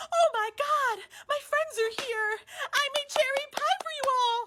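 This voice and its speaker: An extremely high, put-on character voice moves at a fairly slow pace. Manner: excited, cheerful.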